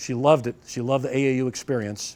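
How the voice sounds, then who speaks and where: Speaking with an American accent, a man holds a medium pitch. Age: 60s. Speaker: judo instructor and referee. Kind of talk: seminar lecture. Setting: dojo seminar with audience. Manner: conversational, with false starts.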